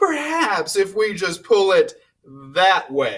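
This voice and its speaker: Putting on a character voice, a man speaks high in pitch at a very slow pace. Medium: read story.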